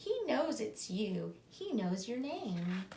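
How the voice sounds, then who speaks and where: Using a put-on character voice, a woman speaks very slowly at a fairly high pitch over clear background noise. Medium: read story. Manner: gentle, reassuring.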